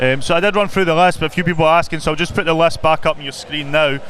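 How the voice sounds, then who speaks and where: A man's fairly high voice with fairly even intonation amid noticeable background noise. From Glasgow, Scotland (Drumchapel). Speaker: boxing live stream presenter. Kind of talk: live broadcast presenting. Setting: ringside at boxing event. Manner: fast.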